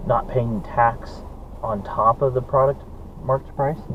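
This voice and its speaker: A man at a moderate pace with an American accent, amid noticeable background noise and audible room echo. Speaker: vlogger. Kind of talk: casual dashcam vlog. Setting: in a car. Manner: hesitant, many fillers.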